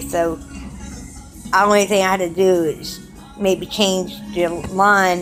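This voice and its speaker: Music plays in the background as a woman talks with a South Carolina accent. Her intonation stays fairly even. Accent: Southern US (South Carolina). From Charleston, South Carolina. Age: 30s. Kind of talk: casual personal video diary.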